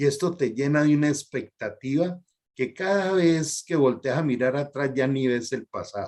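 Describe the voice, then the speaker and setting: Using an unremarkable speaking voice, a man talks at a moderate pace with ordinary pitch variation. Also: fairly high pitch for a man. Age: 60s. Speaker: health program host, doctor. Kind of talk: interview.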